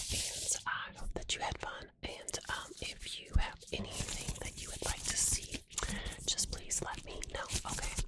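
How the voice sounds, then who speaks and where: Through loud background noise, a soft-spoken woman whispers at a fairly slow pace. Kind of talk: soft-spoken roleplay chat. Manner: soft-spoken ASMR near-whisper. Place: home room. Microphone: earbuds.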